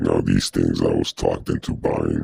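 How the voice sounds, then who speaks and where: A man performs a put-on character voice. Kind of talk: comic overacting. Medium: machinima. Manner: smug, rambling, self-mocking.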